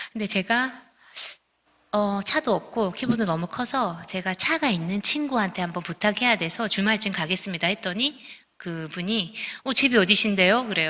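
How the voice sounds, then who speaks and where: Fairly quick and lively in intonation, a woman speaks at a medium pitch in an unremarkable speaking voice. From Busan, South Korea. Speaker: composer. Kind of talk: testimony.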